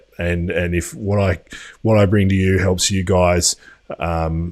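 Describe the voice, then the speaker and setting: A man with an Australian accent speaks at a very deep, low pitch with fairly even intonation. The recording is very clean, with a silent background. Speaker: crypto news youtuber. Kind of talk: live stream commentary. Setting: home studio. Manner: casual, hesitant with fillers.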